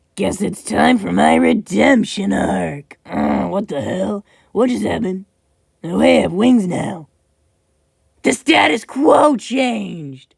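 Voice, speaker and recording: A raspy, cartoonish character voice at a middle pitch talks at a fairly slow pace. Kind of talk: parody cartoon abridged comedy. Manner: comic overacting.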